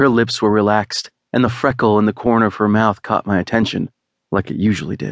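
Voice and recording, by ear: The reading aloud is done in a natural voice, and the background stays quiet.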